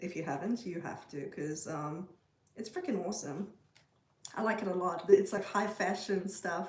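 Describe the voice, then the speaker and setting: A woman with a South African accent at medium pitch and a moderate pace, ordinary pitch variation, amid noticeable background noise and audible room echo. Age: 40s. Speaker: livestreamer. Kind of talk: casual chat. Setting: livestream.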